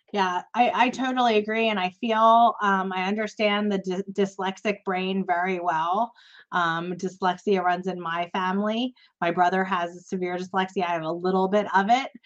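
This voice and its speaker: Against a quiet background, a woman with a normal speaking voice talks at a moderate pace with fairly even intonation. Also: medium pitch for a woman. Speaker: podcast host. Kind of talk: casual interview chat.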